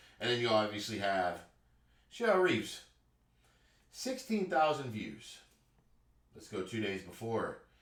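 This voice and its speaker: A man at a fairly slow pace, with long, frequent pauses, big swings in loudness and audible room echo. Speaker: YouTube reaction commentator. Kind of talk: reaction commentary. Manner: animated.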